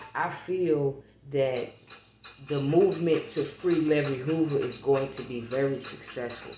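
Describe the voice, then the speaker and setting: Music plays in the background as someone talks at a fairly slow pace, with long, frequent pauses. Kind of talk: reading aloud; casual monologue. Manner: halting.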